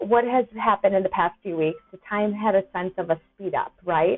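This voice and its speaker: A woman is speaking. Her tone is animated. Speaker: astrology and intuitive guidance coach. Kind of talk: casual educational talk to camera.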